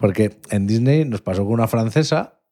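A man talks at a moderate pace in a medium pitch, his dark, mellow tone carried by lively intonation. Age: 30s. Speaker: podcast host. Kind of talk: casual chat.

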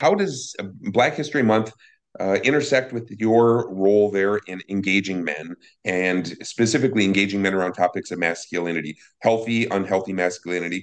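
A man talks in a fairly low voice at a moderate speed, his pitch varying in an ordinary way, with a quiet background behind him. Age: 50s. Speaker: podcast host on violence prevention. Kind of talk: casual interview conversation. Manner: halting, many fillers.

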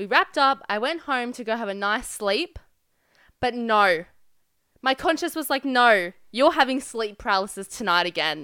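Very wide pitch swings and a bright, sharp tone mark this speaker with an Australian accent. The pace is moderate, and the recording is very clean with a silent background. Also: woman, fairly high pitch for a woman. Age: 20s. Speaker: podcast co-host. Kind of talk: casual chat.

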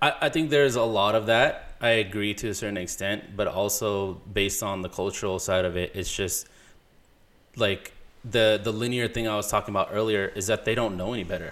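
This man has a normal speaking voice, fairly low in pitch, with an American accent and fairly even intonation. He talks at a fairly quick pace on a very clean recording with a silent background. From Punjabi Indian family, California. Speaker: video producer. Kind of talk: casual chat.

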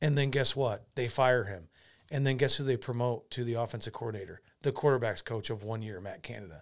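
In a very clean recording with a silent background, a man with an American accent talks at a fairly quick pace in an animated tone, with medium pitch and ordinary pitch variation. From Iowa. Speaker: podcast co-host. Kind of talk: casual chat.

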